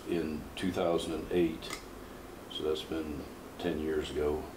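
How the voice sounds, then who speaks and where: In an American accent, a somewhat breathy voice speaks with audible room echo. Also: man. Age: 50s. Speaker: powerlifter and coach. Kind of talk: interview.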